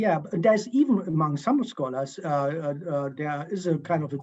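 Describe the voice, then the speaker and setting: This man has a high pitch. He talks with a German accent. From East Germany. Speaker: history professor. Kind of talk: Q&A interview. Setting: video call. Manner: halting, many fillers.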